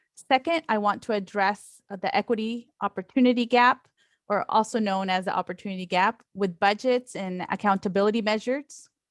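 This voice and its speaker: At a fairly quick pace, a woman with a Spanish accent speaks at a medium pitch with ordinary pitch variation in a dry, close sound with no echo. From Oregon, immigrated as a child from Latin America. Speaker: school board candidate, educator. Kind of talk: campaign speech on video call. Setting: video call.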